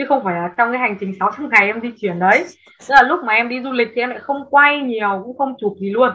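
A woman talks at a very fast pace with a fairly high pitch. Her pitch varies in an ordinary way. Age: 20s. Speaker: travel blogger and content creator. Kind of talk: interview.

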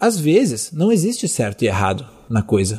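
A man speaks at a fairly slow pace in a fairly high pitch, his dark, mellow tone somewhat breathy, on a very clean recording with a silent background. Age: 20s. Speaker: yoga teacher. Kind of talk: solo monologue. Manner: hesitant, many fillers.

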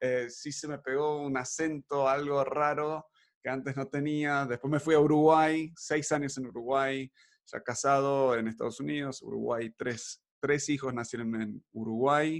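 Speaking at a fairly slow pace, a man has a fairly high pitch. His intonation stays fairly even. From Buenos Aires, Argentina. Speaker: podcast host. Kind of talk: casual chat, podcast conversation. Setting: recorded remotely, early morning, children playing nearby.

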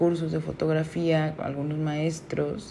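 A woman's very deep, low voice in a flat monotone, with audible room echo and noticeable background noise. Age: 30s. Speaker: photographer. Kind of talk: solo podcast monologue. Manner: hesitant, many fillers.

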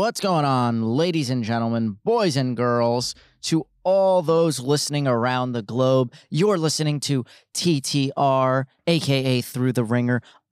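A man with an ordinary speaking voice speaks at a fairly slow pace in a medium pitch, with ordinary pitch variation. The recording is very clean, with a silent background. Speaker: podcast host. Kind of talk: radio DJ-style patter, casual sports-betting banter.

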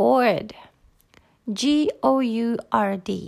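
In a Japanese accent, a woman speaks at a fairly high pitch. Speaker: podcaster. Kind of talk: casual solo talk. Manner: halting.

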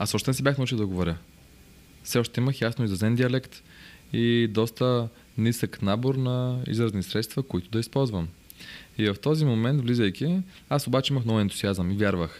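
The recording is very clean with a silent background, and a man talks at a moderate pace in a medium pitch with ordinary variation. He has an ordinary speaking voice, and his loudness stays very even. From Bulgaria, Bansko. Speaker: real estate broker. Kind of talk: interview storytelling.

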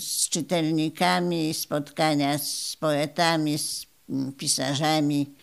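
Her pitch very deep and low, a woman speaks at a very slow pace in a very clean recording with a silent background. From Poland, Opoczno area. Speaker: retired library director. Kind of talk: interview reminiscence. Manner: halting, with repetitions.

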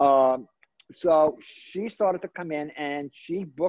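A man speaks at a very slow pace with a New York accent. His pitch sits fairly high. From Brooklyn, New York. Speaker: celebrity hairstylist and salon owner. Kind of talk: interview.

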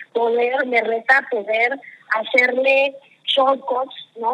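In a Mexican accent, a woman speaks with a high-pitched voice. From Mexico. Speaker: marketing executive. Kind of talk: interview. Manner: animated.

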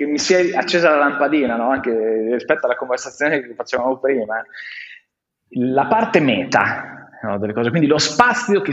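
A man's fairly high-pitched voice with lively intonation, at a moderate pace with long, frequent pauses. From Romagna, Italy (Faenza). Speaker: innovation consultant, collective founder. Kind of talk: casual interview conversation.

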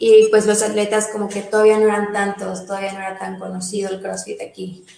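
A woman's medium pitch stays monotone and flat at a moderate pace. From Mérida, Yucatán, Mexico. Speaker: CrossFit coach and nutritionist. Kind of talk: casual interview.

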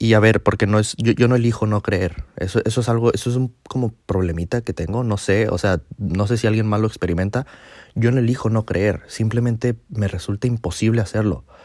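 On a very clean recording with a silent background, a man with a fairly low pitch talks at a fairly quick pace with fairly even intonation. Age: 20s. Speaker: podcast host. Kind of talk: personal monologue. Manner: halting.

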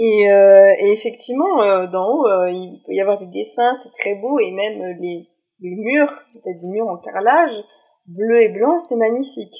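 A woman's ordinary speaking voice, fairly high-pitched and fairly slow, with lively intonation and big swings in loudness. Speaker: student who lived abroad. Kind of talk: casual chat.

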